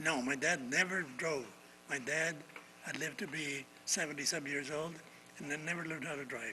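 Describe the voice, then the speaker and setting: A man with an American accent speaks at a fairly high pitch, leaving long, frequent pauses over noticeable background noise. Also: fairly even intonation, moderate pace. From El Rio, Oxnard, California. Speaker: community leader. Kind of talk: interview conversation. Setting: art gallery on location. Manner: halting, many repetitions.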